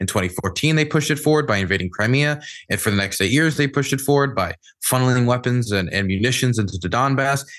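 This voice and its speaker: A man with a Mid-Atlantic American accent talks at a very fast pace, at medium pitch and with lively intonation. His loudness stays very even against a quiet background. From US, Maryland. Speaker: war journalist and political streamer. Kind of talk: podcast interview discussion.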